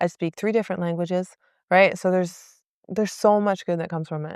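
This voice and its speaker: Very fast and animated, a woman with a medium-pitched voice talks over a silent background in a very clean, dry, close recording with no echo. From Quebec, Canada, raised partly in English-speaking Canada. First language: French. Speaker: professional boxer, Olympian. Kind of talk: podcast interview. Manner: animated, many fillers.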